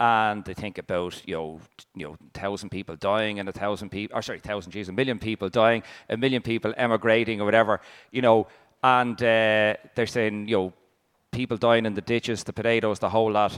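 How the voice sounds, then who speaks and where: A man with an Irish accent and a fairly low pitch speaks at a fairly quick pace with fairly even intonation and big swings in loudness, in a very clean recording with a silent background and a dry, close sound with no echo. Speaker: food historian. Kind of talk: panel talk. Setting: stage with audience.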